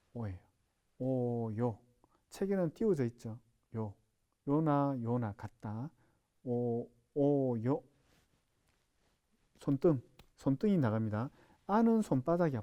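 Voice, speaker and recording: Very slow male speech, fairly high in pitch and dark and mellow in tone, with very wide pitch swings. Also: long, frequent pauses. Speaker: sign language instructor. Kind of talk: lecture. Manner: repetitive, drilling sounds aloud.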